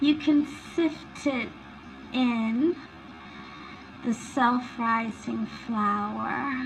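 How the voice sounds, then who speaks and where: A woman at a fairly high pitch with ordinary pitch variation and long, frequent pauses, music in the background. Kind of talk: ASMR recipe roleplay. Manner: soft-spoken, relaxing.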